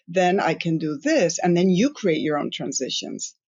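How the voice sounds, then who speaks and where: Here a woman talks at a medium pitch. She moves along fairly slowly. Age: 50s. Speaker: influencer and content creator. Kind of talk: podcast interview. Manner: animated, with frequent restarts and fillers.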